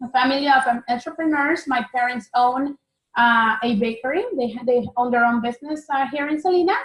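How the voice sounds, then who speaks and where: A woman with a Spanish accent, high pitch, fairly quick pace, and ordinary pitch variation. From Mexico (Oaxaca). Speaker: tax preparer, business owner. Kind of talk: interview.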